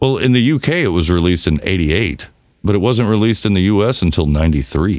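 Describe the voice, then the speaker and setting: Lively intonation runs through the speech. It is delivered in an American accent. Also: man, very deep, low pitch for a man, moderate pace, very even loudness. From US South. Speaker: podcast co-host. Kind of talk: casual chat.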